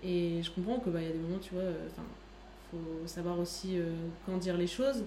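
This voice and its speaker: Over noticeable background noise, a woman talks with a fairly low pitch. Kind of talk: casual chat. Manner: animated.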